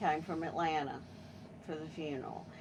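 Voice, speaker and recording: A woman speaks with an American accent, and audible room echo surrounds her voice. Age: 70s. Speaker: family member. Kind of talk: casual chat.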